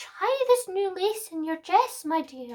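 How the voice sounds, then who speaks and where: A woman puts on a squeaky, cackling character voice at an extremely high pitch with very wide pitch swings. She speaks at a fairly slow pace. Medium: read story. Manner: wheedling.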